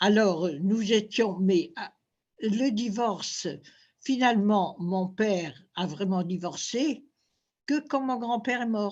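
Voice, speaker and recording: Over a quiet background, a woman speaks at a very slow pace. Her pitch is medium and her intonation lively. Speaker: former fashion model. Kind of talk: interview. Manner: halting.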